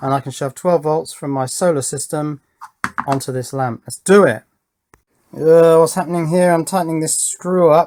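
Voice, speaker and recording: A man speaks with an English accent at a fairly high pitch. His pace is fairly quick and his intonation fairly even. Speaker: electronics YouTuber. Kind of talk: casual unboxing tutorial. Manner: loud.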